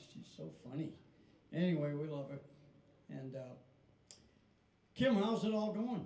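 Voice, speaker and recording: A man speaks at a moderate pace in a dark, mellow tone. Audible room echo surrounds his voice. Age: 80s+. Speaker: country band leader and show host. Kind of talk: casual stage banter at live show. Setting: live show with small audience.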